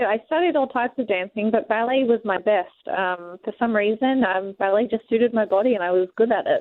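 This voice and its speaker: A woman's fairly high voice with an Australian accent, fairly quick pace, and ordinary pitch variation. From Australia, Sydney. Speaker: professional wrestler. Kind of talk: radio interview.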